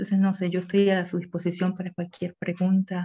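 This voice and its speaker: This woman's voice sits fairly low, with a dark, mellow tone and a somewhat breathy quality. Her intonation is monotone and flat. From Panama. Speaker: poet and academic researcher. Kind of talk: online literary discussion.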